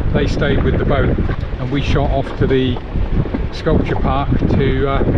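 A man over loud background noise. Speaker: liveaboard sailor vlogger. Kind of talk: casual vlog chat. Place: boat. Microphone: phone near.

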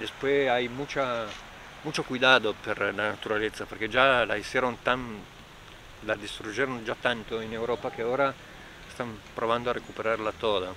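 Fairly slow, fairly even speech with long, frequent pauses, dry and echo-free, over noticeable background noise. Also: man. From northern Italy, Trento province Alps; Trentino, Italy. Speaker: local resident; interviewee. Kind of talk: interview. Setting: outdoors. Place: open country.

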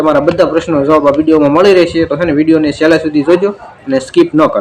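Noticeable background noise sits behind a man whose voice is fairly high in pitch. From Saurashtra, Gujarat (Rajkot district, rural). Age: 20s. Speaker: village vlogger and farmer. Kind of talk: casual Q&A vlog.

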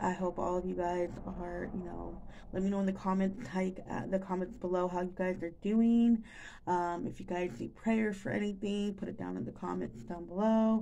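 A woman's dark, mellow tone at a moderate pace, with ordinary pitch variation and light background noise. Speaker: vlogger. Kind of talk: casual vlog chat. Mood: relaxed and chatty. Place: kitchen. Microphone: phone near.

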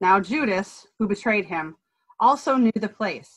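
A somewhat breathy woman at a fairly slow pace, against a quiet background. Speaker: lay reader in church service. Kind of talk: scripture reading. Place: home room. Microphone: video call.

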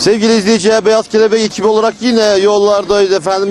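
A man speaks in a dry setting with no echo. Faint music plays in the background. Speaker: local video reporter. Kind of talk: travel show intro to camera. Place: street. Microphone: handheld.

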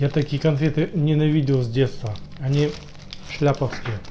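The delivery is fairly slow, with fairly even intonation. Light background noise sits behind it. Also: man. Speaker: food vlogger. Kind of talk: casual vlog chat. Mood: playful, joking. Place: kitchen. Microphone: phone near.

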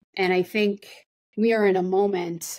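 In a quiet background with a dry sound and no echo, a woman speaks at a fairly low pitch with fairly even intonation. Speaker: politician interviewed remotely. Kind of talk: interview answer. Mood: earnest, encouraging. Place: office. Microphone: webcam.

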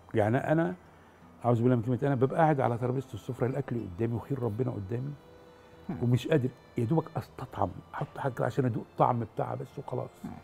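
Against light background noise, a man talks at a very fast pace with ordinary pitch variation. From Egypt, Damietta; Egypt. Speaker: actor. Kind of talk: interview. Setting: studio. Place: studio. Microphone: lapel.

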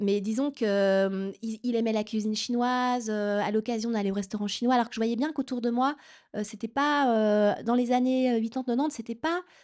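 A woman's unremarkable speaking voice at a fairly high pitch and moderate pace, with ordinary pitch variation, very even loudness and a quiet background. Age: 40s. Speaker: novelist. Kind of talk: author talk. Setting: stage with audience. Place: hall.

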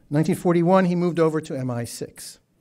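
Against a quiet background, a man with a fairly high pitch speaks with lively intonation. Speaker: Middle East historian. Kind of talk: prepared speech. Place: hall. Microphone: podium.

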